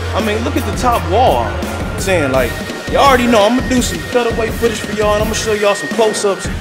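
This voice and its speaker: A very fast pace of speech over clear background music. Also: man. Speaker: vlogger. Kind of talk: casual vlog chat. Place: shop. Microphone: phone near.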